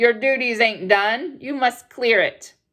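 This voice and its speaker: Doing a put-on character voice, a man speaks loud at an extremely high pitch for a man, with ordinary pitch variation and a fairly slow pace. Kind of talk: bedtime story. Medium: read story. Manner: loud, blunt, bossy.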